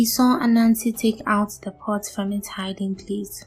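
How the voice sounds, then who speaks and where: Soft-spoken and monotone in her flat intonation, a woman speaks at a fairly slow pace with music in the background. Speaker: storyteller. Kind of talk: bedtime story narration.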